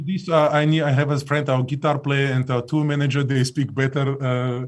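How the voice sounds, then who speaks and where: A man with a non-native accent talks at a moderate pace in a fairly high voice, his intonation flat and monotone and his loudness very even. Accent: foreign. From Soviet Union. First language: Russian. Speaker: singer in a band. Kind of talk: casual chat. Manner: halting.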